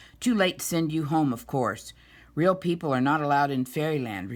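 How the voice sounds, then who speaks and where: A man puts on a gruff character voice at a fairly high pitch. He talks at a fairly quick pace on a very clean recording with a silent background. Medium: read story. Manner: gruff, sputtering.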